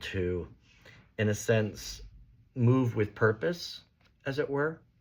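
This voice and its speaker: A man speaks at a very slow pace in a very clean recording with a silent background. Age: 60s. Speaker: astrologer and religious teacher. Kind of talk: casual monologue on religion. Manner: halting, many fillers.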